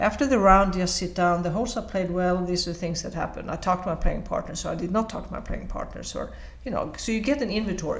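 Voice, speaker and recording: A woman with a Swedish accent talks at a very fast pace with hardly any pauses. Audible room echo surrounds her voice. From Sweden. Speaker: golf coach, former tour player. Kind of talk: recorded interview.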